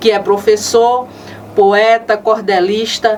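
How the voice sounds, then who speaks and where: Noticeable background noise sits under a woman speaking at a fairly slow pace. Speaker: TV program host. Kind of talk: casual talk to camera.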